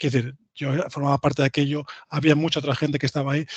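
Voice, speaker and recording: Somewhat breathy and fairly high-pitched, a man speaks with a dry, close sound and no echo. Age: 40s. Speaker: IT engineer, invited speaker. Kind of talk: lecture. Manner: halting, many fillers and repetitions.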